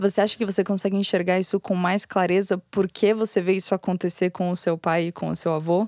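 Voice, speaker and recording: On a very clean recording with a silent background and a dry, close sound with no echo, a woman at a medium pitch talks at a fairly quick pace in monotone, flat intonation, with hardly any pauses. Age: 20s. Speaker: podcast host and content editor. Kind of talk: interview.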